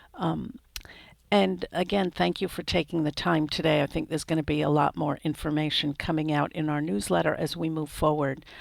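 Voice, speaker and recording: Speaking fairly quickly with vocal fry, a woman uses a very deep, low pitch and lively intonation. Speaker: crisis mental health trainer. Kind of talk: training webinar wrap-up.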